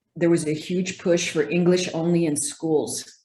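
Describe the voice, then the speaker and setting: With a Spanish accent, a woman speaks at a moderate pace and with fairly even intonation. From El Paso, Texas, US-Mexico border. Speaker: physical therapist. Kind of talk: interview.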